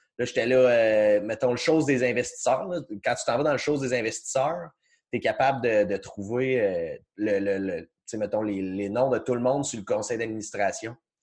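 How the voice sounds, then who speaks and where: Man of medium pitch in a Quebec accent, over a quiet background. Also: ordinary pitch variation, moderate pace. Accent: Québécois French. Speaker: podcast host. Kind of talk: casual chat. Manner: halting, many repetitions.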